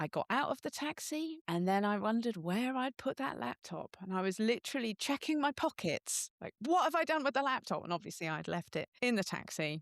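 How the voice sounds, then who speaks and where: A woman's fairly high voice at a fairly quick pace, with very wide pitch swings and hardly any pauses, in a dry, close sound with no echo and a quiet background. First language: not French; English speaker. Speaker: software engineering director and open-source contributor. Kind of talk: podcast interview.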